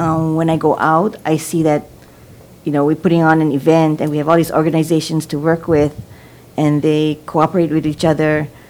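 A woman's very deep, low voice with a monotone, flat delivery. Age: 60s. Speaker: community member.

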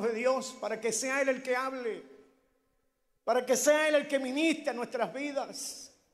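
A man's voice with fairly even intonation amid audible room echo. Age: 60s. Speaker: preacher. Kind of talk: sermon. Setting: church.

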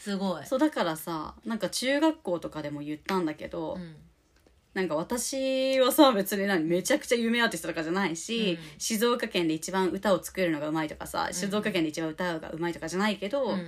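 A woman with a normal speaking voice at medium pitch talks with lively intonation and big swings in loudness. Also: fairly quick pace. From Japan, Shizuoka (Shimada). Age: 30s. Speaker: podcast co-host and singer. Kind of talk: casual chat.

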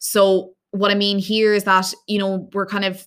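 In a very clean recording with a silent background, a woman with an Irish accent speaks at a medium pitch in a bright, sharp tone with monotone, flat intonation. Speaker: fitness coach and podcast host. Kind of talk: solo podcast talk with tips. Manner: fast.

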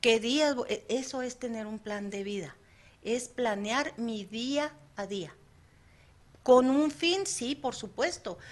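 Over a quiet background, a woman with a high pitch and lively intonation speaks at a very slow pace, leaving long, frequent pauses. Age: 50s. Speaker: psychologist, radio presenter. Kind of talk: casual chat. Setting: studio.

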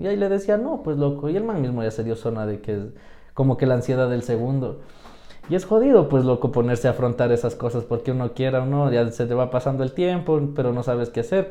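A man with a dark, mellow tone talks at a very fast pace and with lively intonation. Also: medium pitch for a man. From Ecuador, Quito (south). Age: 20s. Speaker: podcast co-host. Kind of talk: casual chat.

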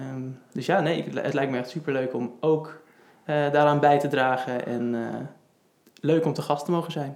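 This man has a normal speaking voice, fairly high in pitch, with fairly even intonation and a fairly slow pace. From Netherlands, Houten (Utrecht province). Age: 20s. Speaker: project manager and cyclist with type 1 diabetes. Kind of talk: casual interview.

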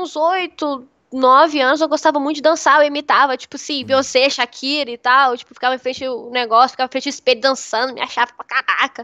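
A woman talks very fast in a raised, projected voice with hardly any pauses. Her high pitch carries a bright, sharp tone, and the sound is dry and close with no echo. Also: big swings in loudness. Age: 20s. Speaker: streamer. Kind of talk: casual chat.

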